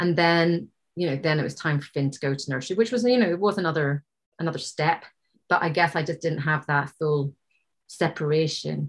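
In an Irish accent, a woman talks with a very deep, low pitch and ordinary pitch variation. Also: fairly quick pace. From Ireland. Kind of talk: casual chat. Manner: laughs often.

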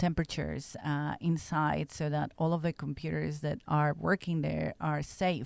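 With a Spanish accent, a woman speaks at a moderate pace in a very deep, low pitch. The recording is very clean, with a silent background and a dry, close sound with no echo. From Mexico. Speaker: genomics researcher. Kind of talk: interview.

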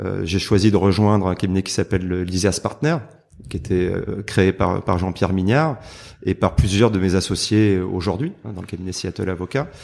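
A man speaks at a moderate pace with a very deep, low pitch and ordinary pitch variation. The recording is very clean, with a silent background. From southern France, Marseille. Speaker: lawyer. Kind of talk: interview. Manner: hesitant, many repetitions and fillers.

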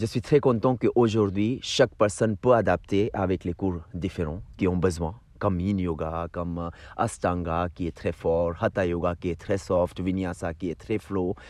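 Over a quiet background, a man with a very deep, low voice speaks at a fairly slow pace with ordinary pitch variation. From India. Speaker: yoga teacher. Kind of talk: casual chat. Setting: outdoors. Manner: halting.

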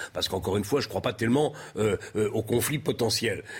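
A man speaks in a somewhat breathy voice. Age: 60s. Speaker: political commentator. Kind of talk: televised debate.

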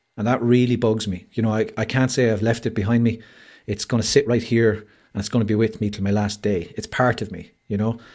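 With an Irish accent, a man speaks at a fairly quick pace. His pitch sits in the medium range. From Ireland. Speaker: mental health campaigner. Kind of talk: casual chat. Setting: video call. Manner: animated. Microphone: home studio microphone.

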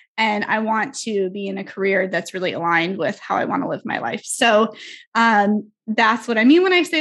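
A woman has a normal speaking voice at a medium pitch with ordinary pitch variation. She talks at a fairly quick pace against a quiet background. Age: 20s. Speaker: brand strategist and marketing coach. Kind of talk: casual chat.

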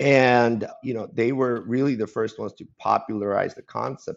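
There is vocal fry in this man's voice, along with ordinary pitch variation. His pace is moderate. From former Soviet Union, raised in San Francisco Bay Area. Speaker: alternative data founder and university instructor. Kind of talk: interview conversation.

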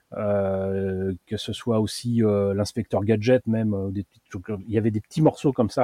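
Speaking at a fairly slow pace, a man with a fairly low pitch and a dark, mellow tone keeps his intonation fairly even while his loudness swings widely, in a dry, close sound with no echo. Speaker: magazine founder and journalist. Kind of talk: long-form interview. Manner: hesitant, frequent fillers.

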